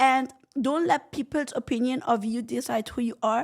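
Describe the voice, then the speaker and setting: Loud and animated, a woman with a high pitch talks at a fairly slow pace with ordinary pitch variation. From Egypt. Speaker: entrepreneur. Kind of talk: interview.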